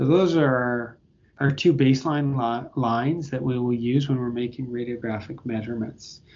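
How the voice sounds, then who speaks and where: A man with a Canadian accent talks in an ordinary speaking voice at medium pitch. His pace is moderate and his intonation fairly even. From Canada (Toronto). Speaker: pediatric orthopedic surgeon. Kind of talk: interview.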